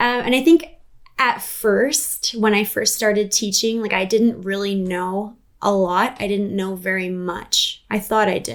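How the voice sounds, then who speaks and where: A woman with a plain, everyday voice talks at a fairly slow pace, her medium pitch held in fairly even intonation. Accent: Canadian. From Canada, British Columbia (Prince George area). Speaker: musician and vocal coach. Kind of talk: interview conversation.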